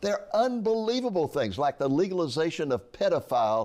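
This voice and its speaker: Very wide pitch swings mark this man's moderate-paced speech, with a quiet background behind him. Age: 80s. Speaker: author and ministry founder. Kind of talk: interview about his book.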